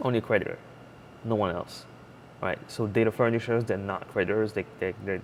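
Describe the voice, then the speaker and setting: A man speaks at a fairly low pitch. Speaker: online course teacher. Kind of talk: lecture. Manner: fast.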